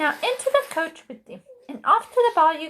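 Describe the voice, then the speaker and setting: A woman puts on a character voice at a moderate pace, her pitch swinging very widely. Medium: read story. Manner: warm, motherly.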